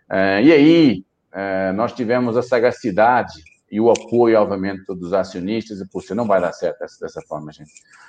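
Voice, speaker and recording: A man with a fairly low pitch uses an ordinary speaking voice at a moderate pace, his loudness swinging widely while his pitch varies in an ordinary way. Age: 40s. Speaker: company executive. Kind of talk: interview.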